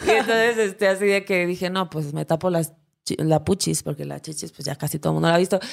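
A woman with a fairly low pitch talks at a very fast pace on a very clean recording with a silent background. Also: ordinary pitch variation. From Acapulco, Guerrero, Mexico. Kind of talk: casual chat. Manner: animated, joking.

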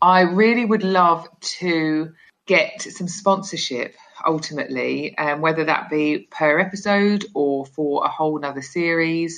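Fairly low in pitch, a woman speaks with a British accent. Her pace is fairly slow and her pitch variation ordinary. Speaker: podcaster leaving voicemail question. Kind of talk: voicemail question.

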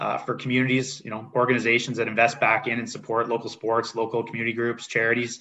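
Very fast and with hardly any pauses, a man talks in a monotone, flat intonation with a Canadian accent. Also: medium pitch for a man. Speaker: sports league executive. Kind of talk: interview.

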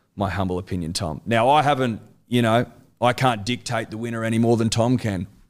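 A man speaks at a fairly quick pace with an Australian accent, his pitch medium and its variation ordinary. The recording is very clean, with a silent background. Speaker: sports podcaster. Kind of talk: casual chat.

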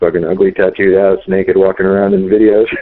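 At a fairly quick pace, a man speaks with an American accent. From San Diego, California. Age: 30s. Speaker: adult film performer. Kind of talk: interview.

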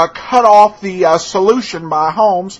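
Talking at a fairly slow pace, a man has a high pitch and ordinary pitch variation. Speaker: podcast host. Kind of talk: podcast intro and outro, casual commentary. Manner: casual, hesitant with filler words.

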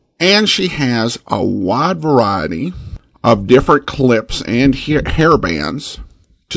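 A man with an American accent speaks at a very slow pace and a medium pitch. Vocal fry and very wide pitch swings run through his voice. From Boise, Idaho, US. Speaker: podcast host. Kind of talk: podcast intro and outro, casual announcements.

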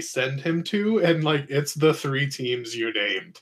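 An American accent colors this man's fairly high voice as he talks at a fairly slow pace with lively intonation. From US South, Mississippi. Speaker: fantasy football podcast co-host. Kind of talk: casual chat.

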